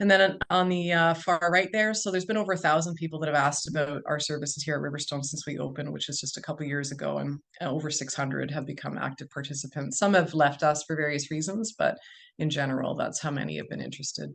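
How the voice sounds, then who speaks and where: A woman with a Canadian accent speaks very fast in a very deep, low voice. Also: ordinary pitch variation. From Ontario, Canada. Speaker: physician. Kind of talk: webinar presentation. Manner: loud.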